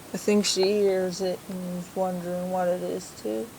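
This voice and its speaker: Noticeable background noise accompanies speech delivered very slowly. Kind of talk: casual talk to camera.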